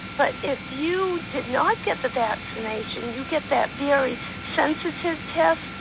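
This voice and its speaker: The speech comes at a fairly slow pace. Background noise is noticeable. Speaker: caller. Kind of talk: casual chat. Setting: phone call.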